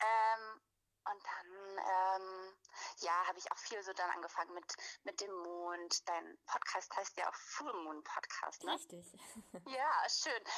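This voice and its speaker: Her pitch is medium and varies in an ordinary way. The woman talks at a very slow pace. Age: 30s. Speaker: anthropologist, women's circle leader. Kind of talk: casual interview chat. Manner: hesitant, many fillers.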